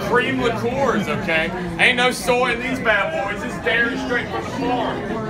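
A man's moderate-paced speech has ordinary pitch variation, with loud background noise behind it. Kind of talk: joking sales patter to customers. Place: bar. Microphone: camera far.

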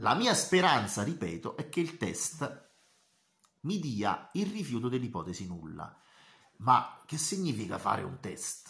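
A man's bright, sharp voice, fairly high-pitched, with vocal fry, very wide pitch swings, a fairly slow pace and long, frequent pauses over a quiet background. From Italy. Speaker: university tutor. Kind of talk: lecture. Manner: halting. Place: home room. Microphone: webcam.

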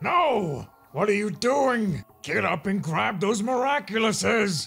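Faint music plays in the background as a man uses a put-on character voice pitched high. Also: fairly slow pace.

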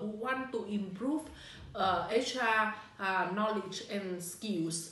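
With a Vietnamese accent, a woman speaks very slowly at a fairly high pitch with ordinary pitch variation, amid audible room echo. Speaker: HR manager. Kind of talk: testimonial. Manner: halting. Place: office. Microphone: phone near.

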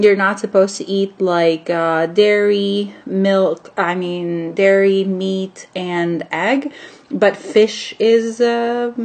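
A woman speaks with ordinary pitch variation. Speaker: daily vlogger. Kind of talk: casual vlog chat. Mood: sleepy, laughing. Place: home room. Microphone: phone near.

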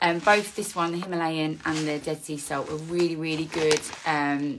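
Noticeable background noise runs under this recording. The woman's pitch varies an ordinary amount. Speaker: skincare content creator. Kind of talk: casual vlog chat. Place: home room. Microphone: phone near.

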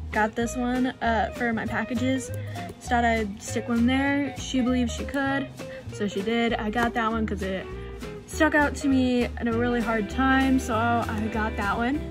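Clear background music behind a woman's moderate-paced speech. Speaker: vlogger. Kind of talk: casual vlog chat. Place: home room. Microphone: phone near.

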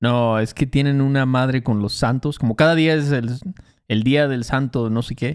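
A man speaks with a Mexican accent at a medium pitch. The background is quiet. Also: fairly even intonation, moderate pace. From Mexico. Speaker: Spanish teacher, podcast co-host. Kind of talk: casual podcast conversation. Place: studio. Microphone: studio mic.

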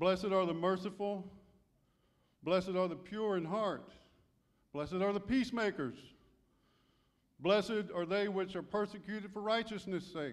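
Pausing long and often, a man speaks at a high pitch with fairly even intonation. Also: moderate pace, quiet background. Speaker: church elder preaching. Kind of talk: sermon. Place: church. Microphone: handheld.

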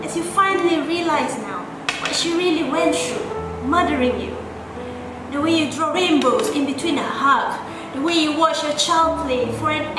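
The pace is moderate. There is noticeable background noise and audible room echo. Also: woman. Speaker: spoken word poet. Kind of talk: spoken word poetry. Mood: warm, heartfelt. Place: home room.

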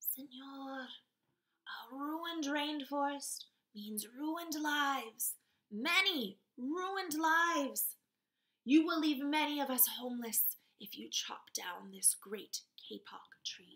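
A woman puts on a squeaky, high-pitched character voice and speaks at a fairly slow pace.

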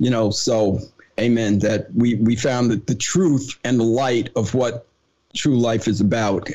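This man has an ordinary speaking voice at a medium pitch, with an American accent. He talks at a fairly slow pace. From New Jersey. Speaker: podcast host. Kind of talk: interview.

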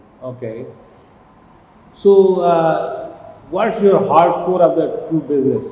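Speaking at a fairly slow pace with a Pakistani accent, a man is heard with audible room echo and light background noise. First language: Urdu. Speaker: TV host. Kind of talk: interview. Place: office.

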